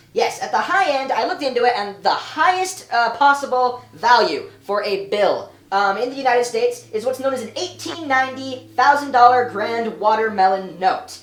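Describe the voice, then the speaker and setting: A put-on, squeaky character voice runs at a moderate pace with hardly any pauses. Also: female-sounding voice, high pitch for a woman. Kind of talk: comedic analysis talk. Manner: squeaky, put-on.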